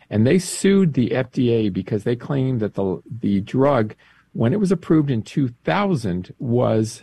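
A man speaks at a fairly slow pace with a dark, mellow tone and a somewhat breathy quality. His pitch swings very widely. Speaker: director of a pro-life advocacy group. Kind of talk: interview. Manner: explanatory, informative.

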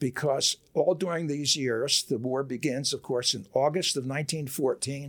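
With an American accent, the talker holds a moderate pace. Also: man. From US Northeast, Camden, New Jersey. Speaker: author and historian. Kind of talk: interview. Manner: halting, many fillers.

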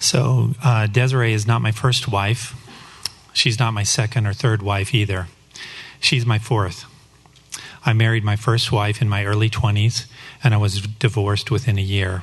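Over noticeable background noise, a man with an American accent speaks at a fairly low pitch with fairly even intonation, very even loudness, and long, frequent pauses. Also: moderate pace. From Colorado, US. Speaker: church member sharing testimony. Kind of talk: testimony. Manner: read from script.

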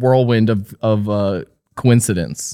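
An ordinary speaking voice with an American accent. It moves at a fairly slow pace with ordinary pitch variation. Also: man. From New Jersey. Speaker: podcast co-host. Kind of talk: casual chat.

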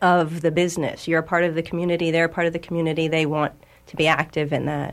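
A woman with an unremarkable speaking voice talks at a fairly quick pace. Her pitch sits fairly low. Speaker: natural food store owner. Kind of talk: radio interview. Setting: studio.

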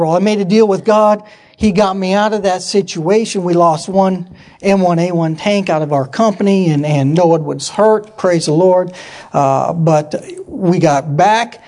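A man with an American accent, high-pitched, at a moderate pace with ordinary pitch variation, over noticeable background noise. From US Pacific Northwest (Yakima, Washington). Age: 40s. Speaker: missionary and military veteran. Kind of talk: church talk / sermon. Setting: church with audience. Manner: animated.

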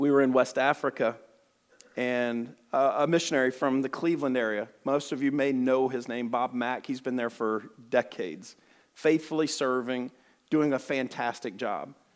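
An Alabama accent on a very clean recording with a silent background. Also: man, medium pitch for a man. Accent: Southern US (Alabama). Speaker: missionary. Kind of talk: sermon. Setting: church. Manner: fast; animated.

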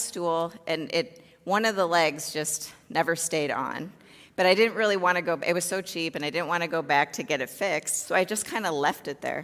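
An unremarkable speaking voice from a woman with an American accent, fairly low in pitch, with ordinary pitch variation. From US Midwest, Chicago south suburbs. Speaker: therapist. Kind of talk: talk to church congregation.

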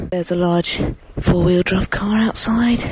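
Over noticeable background noise, a woman with a British accent talks at a fairly low pitch, her pitch varying in an ordinary way. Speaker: podcast host. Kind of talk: casual chat.

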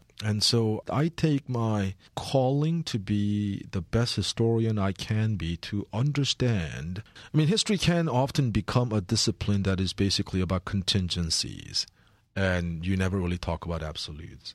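Recorded very cleanly against a silent background with a dry, close sound and no echo, this speaker has lively intonation, a moderate pace and a Korean accent. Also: man, fairly low pitch for a man. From Korea, then Philadelphia from age 15. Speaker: history professor. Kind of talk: interview.

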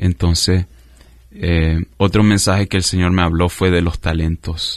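A man talks at a very deep, low pitch. His intonation is monotone and flat, against a quiet background. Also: dry, close sound with no echo. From US, south Florida (Miami area), Nicaraguan parents. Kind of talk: radio interview, personal faith testimony. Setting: radio studio.

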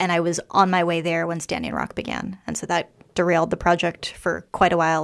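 In a very clean recording with a silent background, a woman with an American accent speaks at a fairly low pitch. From US, Washington DC. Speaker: documentary photographer. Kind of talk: radio interview.

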